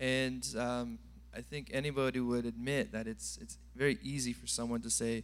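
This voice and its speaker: A man talks at a moderate pace in an American accent. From California. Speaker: church member giving testimony. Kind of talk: testimony. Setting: church.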